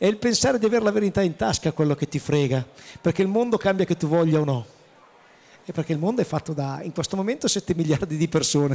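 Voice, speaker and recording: The tone is dark and mellow, with lively intonation. The pace is very fast. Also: man, high pitch for a man. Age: 50s. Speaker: chef, president of professional cooks' association; panelist. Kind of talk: panel discussion at trade fair. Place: hall. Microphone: handheld.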